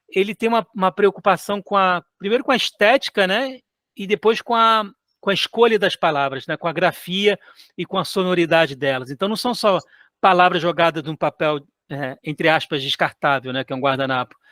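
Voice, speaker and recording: A man's high, bright, sharp voice in a Rio de Janeiro accent, with lively intonation at a moderate pace, dry and close with no echo in a very clean recording with a silent background. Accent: carioca (Rio de Janeiro). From Chad and Cape Verde childhood, later Brazil. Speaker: author and illustrator. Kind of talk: interview. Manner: halting, many repetitions and fillers.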